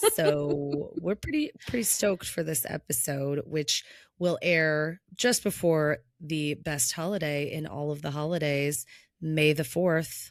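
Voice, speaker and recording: In a very clean recording with a silent background, a woman speaks fairly slowly at a very deep, low pitch with ordinary pitch variation. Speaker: podcast co-host. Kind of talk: casual chat. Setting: video podcast recording.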